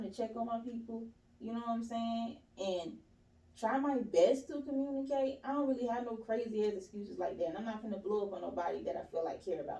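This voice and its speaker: Against audible room echo, a woman speaks at a fairly quick pace and fairly high pitch, her dark, mellow tone carried by lively intonation. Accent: American. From US South, East Point, Georgia. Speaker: podcast guest. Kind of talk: casual chat.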